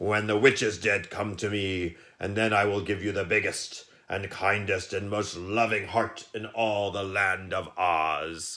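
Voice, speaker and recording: A man puts on a gruff, raspy, growling character voice, fairly low in pitch. He talks at a fairly slow pace with fairly even intonation. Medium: read story. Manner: gruff, growling.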